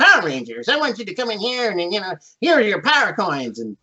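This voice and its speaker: A man puts on a character voice. It is high-pitched and very fast. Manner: theatrical, grand.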